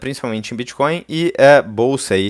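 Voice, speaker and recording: An ordinary speaking voice from a man, medium in pitch, at a moderate pace on a very clean recording with a silent background. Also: dry, close sound with no echo. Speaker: crypto YouTuber. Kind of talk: casual commentary video.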